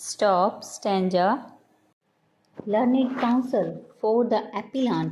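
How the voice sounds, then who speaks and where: A woman's voice, dark and mellow in tone, moves at a very slow pace with fairly even intonation and long, frequent pauses. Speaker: shorthand dictation reader. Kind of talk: dictation reading aloud. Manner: slow, steady dictation pace.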